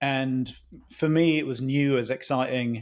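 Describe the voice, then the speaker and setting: In a very clean recording with a silent background, a man with a British accent speaks at medium pitch with ordinary pitch variation. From UK. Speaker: startup founder and CEO. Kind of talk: podcast interview.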